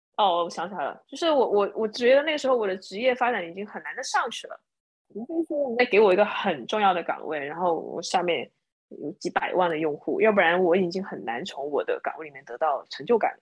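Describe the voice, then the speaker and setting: At a medium pitch and a very fast pace, a woman speaks with very wide pitch swings and big swings in loudness. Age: 30s. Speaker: former product manager and bar owner. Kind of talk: casual chat.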